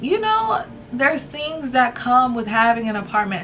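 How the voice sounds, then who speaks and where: There is noticeable background noise behind a woman's voice. She speaks with a high pitch and lively intonation. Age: 20s. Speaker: YouTuber, student and mother. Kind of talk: casual talk to camera. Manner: casual, chatty.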